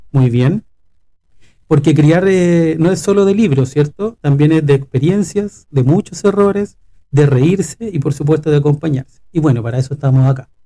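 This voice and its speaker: The speaker uses a Chilean accent with a dark, mellow, somewhat breathy tone. The pace is moderate, pitch variation ordinary and loudness very even. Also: man, fairly high pitch for a man. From Chile, Valparaíso region (Quilpué). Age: 40s. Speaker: pediatric respiratory physiotherapist, podcast co-host. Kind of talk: casual podcast conversation.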